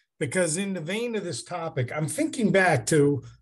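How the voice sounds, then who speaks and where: A man speaks at a fairly slow pace with lively intonation. His voice is somewhat breathy. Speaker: podcast co-host. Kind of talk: casual chat.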